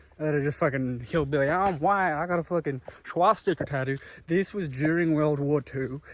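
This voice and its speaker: Talking at a fairly quick pace, a man with a normal speaking voice has a fairly high pitch and fairly even intonation. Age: young. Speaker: history YouTuber. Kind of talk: casual vlog talk.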